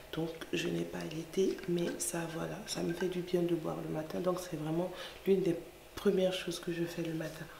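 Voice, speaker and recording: A woman speaks softly in a room with audible echo. Noticeable background noise runs underneath. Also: moderate pace. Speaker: lifestyle vlogger, mother. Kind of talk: casual vlog narration. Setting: at home, early morning. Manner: soft-spoken; hesitant, many fillers.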